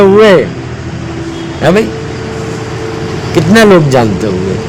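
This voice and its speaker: Speaking in a high voice for a man, he pauses long and often over noticeable background noise. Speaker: Islamic preacher (maulana-style). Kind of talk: Islamic sermon / religious advice talk. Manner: earnest, direct address, repetitive.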